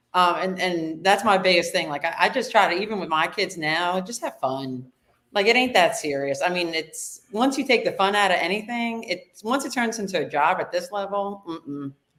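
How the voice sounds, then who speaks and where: With a slight New Jersey accent, a woman at a medium pitch speaks with lively intonation and hardly any pauses. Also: moderate pace. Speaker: high school throws coach. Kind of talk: casual podcast interview.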